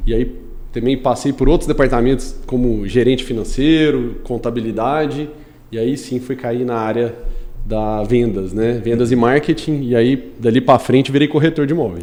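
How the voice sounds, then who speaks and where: With an ordinary speaking voice, a man talks at a medium pitch and a moderate pace, showing ordinary pitch variation. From Brazil, Goiânia. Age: 30s. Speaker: construction company executive and civil engineer. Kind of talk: podcast interview.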